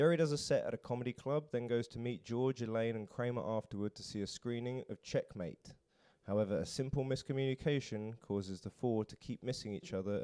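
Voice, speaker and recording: With a British accent, a man speaks at a fairly quick pace in a dark, mellow tone, the sound dry and close with no echo. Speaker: podcast host. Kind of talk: casual interview chat.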